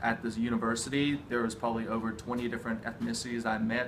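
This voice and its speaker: A man's very fast, monotone, flat delivery at medium pitch, with an American accent and audible room echo. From USA. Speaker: study abroad alumnus, university student. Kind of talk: interview. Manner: exaggerated vowels.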